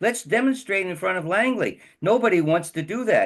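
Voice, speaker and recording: A man with an American accent speaks at a high pitch and a moderate pace. His pitch swings very widely against a quiet background. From United States. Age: 80s+. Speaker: activist and writer. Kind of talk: interview. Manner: halting.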